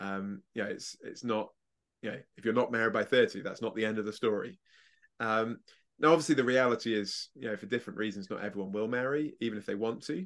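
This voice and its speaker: Speaking at a very fast pace in an English accent, a man with a medium pitch uses ordinary pitch variation over a quiet background. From England. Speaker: evangelist and speaker. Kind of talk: interview.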